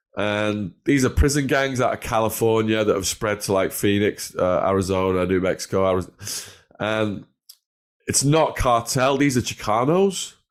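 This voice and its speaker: In a northern English accent, a man with a fairly low pitch talks in an animated tone at a moderate pace, with ordinary pitch variation. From northwest England, between Liverpool and Manchester. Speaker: former drug dealer telling life story. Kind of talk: interview storytelling.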